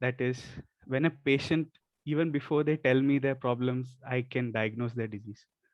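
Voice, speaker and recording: A soft-spoken man's medium-pitched voice with fairly even intonation at a moderate pace. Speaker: Ayurveda medical student. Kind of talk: testimony.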